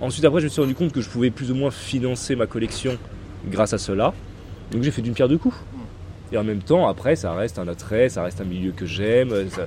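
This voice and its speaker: A man talking at a very fast pace, broken by long, frequent pauses. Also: medium pitch for a man, lively intonation. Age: 30s. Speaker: sneaker reseller. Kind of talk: casual interview.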